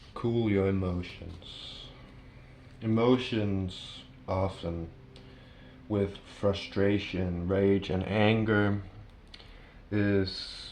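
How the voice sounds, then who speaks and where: With audible room echo, a man speaks very slowly at a fairly low pitch in a monotone, flat intonation, leaving long, frequent pauses. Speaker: tarot reader. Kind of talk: tarot reading to camera. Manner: halting, with fillers.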